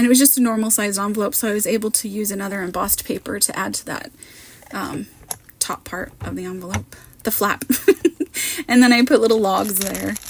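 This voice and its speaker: The speaker sounds somewhat breathy, keeping a fairly even intonation at a fairly quick pace, with long, frequent pauses and big swings in loudness. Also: woman, medium pitch for a woman. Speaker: card maker, crafting content creator. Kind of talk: voiceover tutorial. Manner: casual, chatty.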